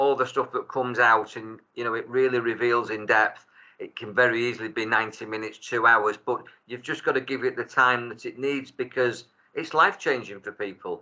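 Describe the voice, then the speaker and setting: A bright, sharp tone at a fairly quick pace, with big swings in loudness. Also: man, medium pitch for a man, fairly even intonation. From Salford, Greater Manchester, England. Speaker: tarot reader and life coach. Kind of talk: casual chat. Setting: video call.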